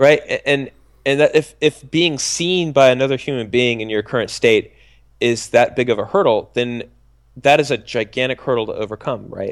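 In a very clean recording with a silent background, a man with an American accent and medium pitch speaks at a moderate pace in an ordinary speaking voice. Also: ordinary pitch variation. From Texas. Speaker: streamer and web video personality. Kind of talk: casual interview chat.

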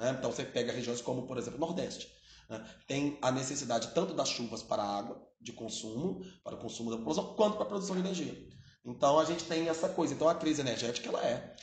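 Very fast male speech amid noticeable background noise and audible room echo. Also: fairly high pitch for a man, lively intonation. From Brazil, Belo Horizonte (Minas Gerais). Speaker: geography teacher. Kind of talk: educational podcast interview. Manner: filler-heavy, frequent né and repetitions.

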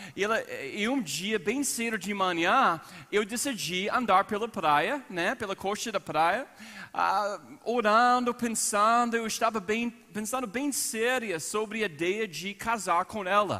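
With an American accent, a man projects a raised, bright and sharp voice at a high pitch, speaking very slowly with ordinary pitch variation. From United States. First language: English (speaking Portuguese). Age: 40s. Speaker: pastor. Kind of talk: sermon. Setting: church service.

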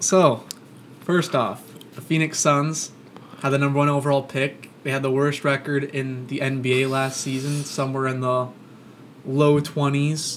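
A man's fairly high, monotone voice with flat intonation, at a fairly slow pace amid noticeable background noise. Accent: American. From Florida, Orlando. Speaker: sports podcast host. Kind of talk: casual chat. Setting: studio, across the table from co-host.

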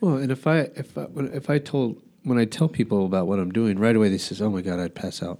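Here a man with a fairly low pitch and a dark, mellow tone speaks at a very fast pace. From Albuquerque, New Mexico. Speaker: podcast host. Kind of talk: casual chat.

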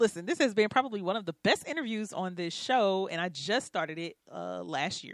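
Using a normal speaking voice, a woman talks fairly quickly at a medium pitch with lively intonation. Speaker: radio host. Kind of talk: radio interview.

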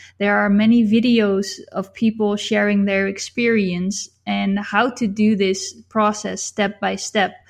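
This woman speaks with a non-native accent at a medium pitch, her intonation monotone and flat. She goes at a fairly slow pace with hardly any pauses, against a quiet background. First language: not English. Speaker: YouTuber and e-book author. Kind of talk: casual interview chat.

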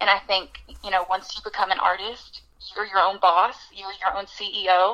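A woman with an American accent speaks at a moderate pace and a medium pitch, with noticeable background noise. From Alabama, US South. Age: 20s. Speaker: country singer-songwriter. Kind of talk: interview.

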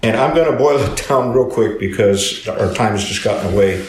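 Noticeable background noise runs under speech in an American accent. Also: man. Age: 80s+. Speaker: retired pastor, Bible teacher. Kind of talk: teaching talk to a group. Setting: small group gathering.

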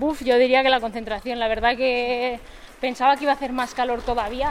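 A woman talks at a very fast pace in a high pitch. Her intonation is flat and monotone, with noticeable background noise behind her. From Madrid, Spain. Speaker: professional golfer. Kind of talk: interview.

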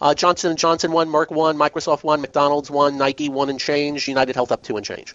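In a normal speaking voice, a man talks fairly quickly at a fairly high pitch with hardly any pauses. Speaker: radio host. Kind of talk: radio host patter. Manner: brisk, chatty, upbeat; plainspoken, folksy, punchy.

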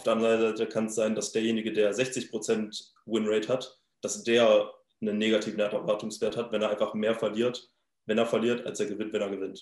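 The man's pitch is fairly low. He speaks at a fairly quick pace in a monotone, flat intonation. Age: 20s. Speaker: crypto trader and startup founder. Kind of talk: interview. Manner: halting, many filler sounds.

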